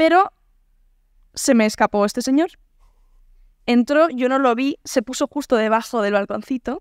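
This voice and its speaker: A woman with a high pitch talks at a moderate pace with long, frequent pauses, in a dry sound with no echo against a quiet background. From Navarre, Spain (Pamplona); Navarre, Spain. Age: 20s. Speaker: singer; podcast guest. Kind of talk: casual interview. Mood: relaxed, anecdotal. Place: home room. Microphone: studio mic.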